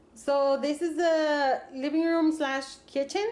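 Audible room echo surrounds a woman's high-pitched voice. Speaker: travel vlogger. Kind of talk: casual vlog room tour. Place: home room. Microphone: phone near.

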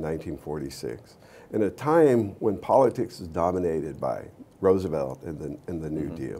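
A man speaks at a moderate pace with a very deep, low pitch. His voice has vocal fry and swings very widely in pitch. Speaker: interview guest. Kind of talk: interview answer. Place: studio. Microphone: lapel.

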